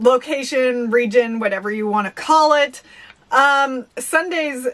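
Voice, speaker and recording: Fairly slow speech with ordinary pitch variation against a quiet background. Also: woman, high pitch for a woman. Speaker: thrift reseller vlogger. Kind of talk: casual vlog chat. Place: home room. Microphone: camera far.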